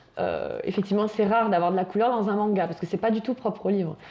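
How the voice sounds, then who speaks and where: Here is a woman with a normal speaking voice. Her pitch is fairly high and varies in an ordinary way. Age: young. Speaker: young volunteer presenting a book. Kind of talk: casual conversation.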